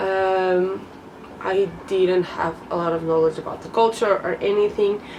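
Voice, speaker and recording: A woman speaking very slowly in a Portuguese accent over noticeable background noise. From Portugal. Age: 20s. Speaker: vlogger. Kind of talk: casual vlog talk to camera. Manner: hesitant, many fillers.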